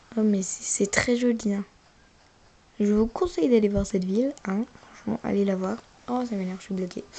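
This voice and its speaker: A woman speaks with ordinary pitch variation and long, frequent pauses over noticeable background noise. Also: medium pitch for a woman, moderate pace. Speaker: gaming youtuber. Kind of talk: casual gameplay commentary.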